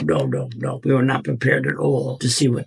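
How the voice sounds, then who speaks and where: The speech comes at a fairly quick pace with an American accent, over noticeable background noise. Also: man. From United States. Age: 80s+. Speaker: World War Two veteran. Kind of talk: interview answer.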